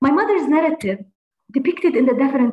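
A woman with an Arabic accent speaks at a high pitch with lively intonation. Audible room echo and faint music in the background are present. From Palestine. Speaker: university administrator. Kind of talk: reading a prepared text; interview. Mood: earnest, heartfelt. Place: home room. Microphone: video call.

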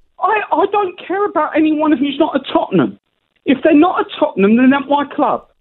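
Against a quiet background, a man talks at a fairly quick pace in an extremely high pitch. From England. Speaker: caller. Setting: phone call. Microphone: phone line.

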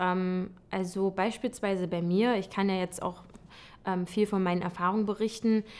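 With a medium pitch, a woman talks at a fairly slow pace. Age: 20s. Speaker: occupational therapist. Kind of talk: testimonial interview. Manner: hesitant with many fillers. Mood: warm, relaxed, positive. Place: home room.

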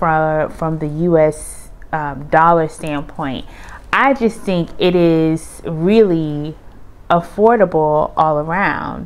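A woman speaks at a very slow pace. Her pitch is fairly low and varies in an ordinary way. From United States. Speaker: vlogger, Air Force retiree. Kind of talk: casual vlog monologue.

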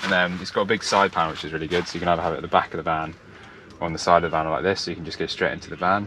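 A man's very deep, low voice in a monotone, flat intonation, with noticeable background noise. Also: dry sound with no echo. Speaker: van camper vlogger. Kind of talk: casual vlog chat. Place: open country.

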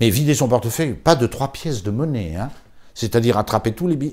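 Moderate pace and a dark, mellow tone from a man. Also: quiet background. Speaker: priest; priest recalling a deceased colleague. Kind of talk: memorial talk. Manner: halting. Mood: warm, admiring, animated. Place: home room.

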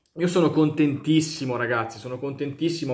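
A man in a monotone, flat delivery, with audible room echo and a quiet background. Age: 20s. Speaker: YouTuber. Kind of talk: casual vlog monologue. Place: home room. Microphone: phone near.

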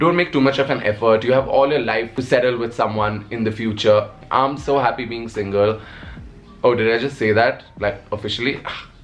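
Faint music sits in the background as a man talks at a fairly quick pace, keeping medium pitch and fairly even intonation. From Nepal. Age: 20s. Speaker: digital content creator. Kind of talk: casual talk to camera. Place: home room.

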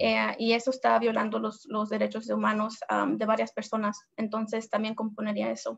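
Her loudness swinging widely, a woman talks at a moderate pace with hardly any pauses. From US, arrived from abroad aged two. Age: 20s. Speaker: community organizer; host. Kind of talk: live-streamed interview. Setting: Facebook Live stream. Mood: earnest, hopeful. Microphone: video call.

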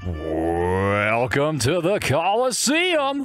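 A man does a put-on character voice at a fairly high pitch while faint music plays in the background. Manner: grand, showy.

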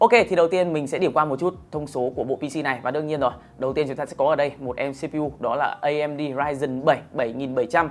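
A man speaks at a moderate pace with hardly any pauses. His pitch variation is ordinary. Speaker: presenter. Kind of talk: product review presentation. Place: studio. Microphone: lapel.

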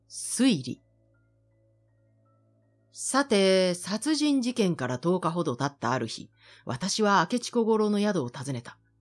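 A woman speaks at a medium pitch and a fairly slow pace, her pitch swinging very widely, with long, frequent pauses and music playing in the background. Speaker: announcer. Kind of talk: literary reading.

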